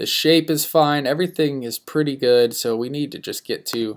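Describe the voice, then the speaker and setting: On a very clean recording with a silent background, a man with an ordinary speaking voice talks at a fairly slow pace with ordinary pitch variation. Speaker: design instructor. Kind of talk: tutorial. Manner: casual with many fillers.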